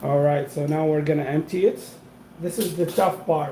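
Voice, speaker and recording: Fairly high-pitched male voice at a moderate pace, ordinary pitch variation, noticeable background noise behind it. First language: not English. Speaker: food vlogger. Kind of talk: live cooking stream. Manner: casual, halting with fillers.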